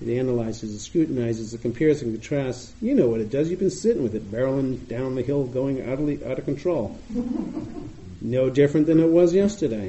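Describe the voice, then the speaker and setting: A man with an American accent talks at a fairly quick pace with lively intonation. Noticeable background noise is present. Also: medium pitch for a man. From US Northeast, Boston. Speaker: meditation teacher. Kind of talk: dharma talk. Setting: meditation retreat with audience.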